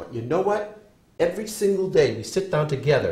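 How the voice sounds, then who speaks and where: A man talks at a fairly quick pace in a dark, mellow tone with vocal fry. His pitch swings very widely, and room echo can be heard. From New England (New Hampshire). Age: 60s. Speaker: professor. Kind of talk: lecture. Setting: classroom.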